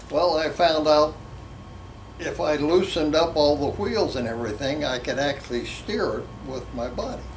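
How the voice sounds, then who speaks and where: A man with an American accent, fairly high pitch, and lively intonation, with audible room echo and noticeable background noise. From West Virginia. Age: 80s+. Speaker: drag racer. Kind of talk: interview storytelling.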